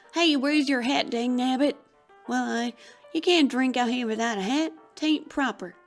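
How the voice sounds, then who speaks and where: A woman puts on a shrill, high-pitched character voice at a moderate pace, with faint music in the background. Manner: shrieking, scolding.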